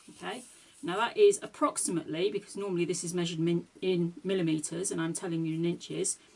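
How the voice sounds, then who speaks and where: Talking at a very fast pace, a woman with a British accent uses a fairly low pitch. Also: ordinary pitch variation. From UK. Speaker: card-making crafter. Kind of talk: tutorial.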